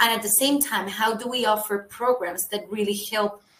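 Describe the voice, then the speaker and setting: With a Colombian accent, a woman talks at a moderate pace in a medium pitch. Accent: non-UK, Colombian. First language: Spanish. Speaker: HR early careers recruiter. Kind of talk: webinar presentation.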